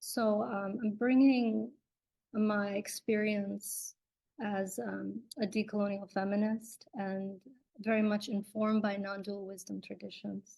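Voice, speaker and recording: Somewhat breathy and dark, mellow in tone, a woman speaks fairly slowly at a medium pitch with monotone, flat intonation. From US, immigrant from Kerala, India at age 4. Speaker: dancer, writer and yoga teacher. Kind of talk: online talk. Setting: live stream. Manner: many fillers (um, uh).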